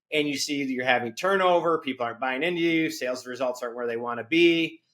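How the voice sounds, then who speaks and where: Loud and fairly quick, the voice has a bright, sharp tone, an energetic, intense delivery and ordinary pitch variation. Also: man. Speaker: company CEO. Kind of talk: interview. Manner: energetic, intense tone; loud laugh.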